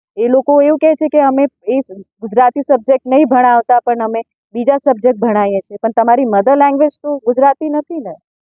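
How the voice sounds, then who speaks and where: Here a woman speaks with a high pitch. Her pitch varies in an ordinary way. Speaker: party district president, politician. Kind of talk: press statement.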